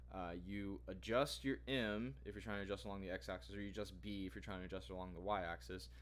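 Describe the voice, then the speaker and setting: A man talks at a very fast pace in a very deep, low voice with vocal fry. His pitch swings very widely. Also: hardly any pauses. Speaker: student vlogger. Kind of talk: tutorial. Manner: halting, many fillers.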